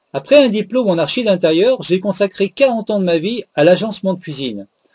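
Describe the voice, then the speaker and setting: Sounding dry and close with no echo, a man speaks at a moderate pace with a high pitch, a dark, mellow tone and lively intonation. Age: 60s. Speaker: retired kitchen sales agent. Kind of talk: testimonial, read prepared text.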